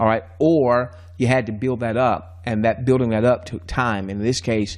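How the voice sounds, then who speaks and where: A man speaks at a medium pitch. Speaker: investment training presenter. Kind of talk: sales pitch. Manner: fast; hesitant fillers.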